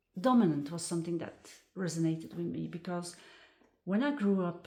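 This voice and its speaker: A woman talks at a fairly quick pace in a fairly low pitch. Her voice is somewhat breathy, with a dark, mellow tone. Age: 60s. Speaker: personal growth speaker. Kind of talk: casual personal talk. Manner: hesitant, many fillers.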